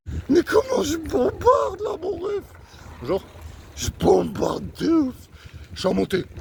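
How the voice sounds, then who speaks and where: A man's voice with noticeable background noise. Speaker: vlogger. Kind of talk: casual vlog monologue while cycling. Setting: outdoors on a bike. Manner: strained, exclamatory.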